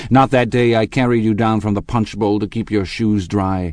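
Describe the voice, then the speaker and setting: In a put-on character voice, a man speaks with a husky, fairly low tone and fairly even intonation at a moderate pace against a quiet background. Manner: tender.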